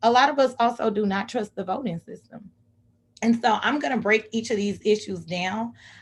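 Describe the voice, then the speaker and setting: A woman's put-on character voice, raspy and fairly high-pitched, with ordinary pitch variation at a moderate pace. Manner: speaking very fast.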